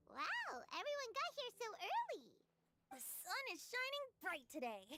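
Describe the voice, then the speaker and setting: A woman uses a put-on character voice, squeaky and extremely high in pitch. She speaks at a moderate pace with very wide pitch swings. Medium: video game. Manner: lively, teasing.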